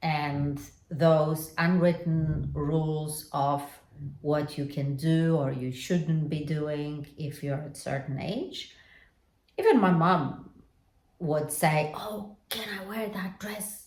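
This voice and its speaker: A woman with a Polish accent speaks at a very slow pace in a very deep, low voice, somewhat breathy, with ordinary pitch variation and audible room echo. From Poland. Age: 50s. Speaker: lifestyle vlogger. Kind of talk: reflective personal vlog monologue.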